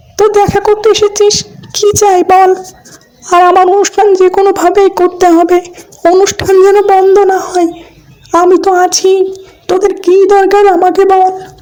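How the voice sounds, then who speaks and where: This cartoonish character voice sits at an extremely high pitch. It moves at a moderate pace in a monotone with flat intonation. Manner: lordly, addresses humans with tui.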